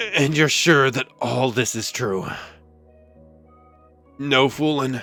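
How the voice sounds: In a put-on character voice, a man speaks at a very slow pace. His pitch is medium, with faint music in the background.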